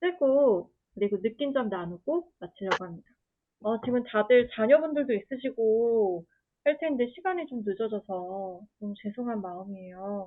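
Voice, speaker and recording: Her voice is an unremarkable speaking voice, as a woman talks at a fairly slow pace with a fairly high pitch and lively intonation. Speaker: workshop facilitator. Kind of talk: online workshop facilitation.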